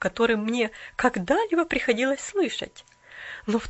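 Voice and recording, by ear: A natural reading voice, aloud, with lively intonation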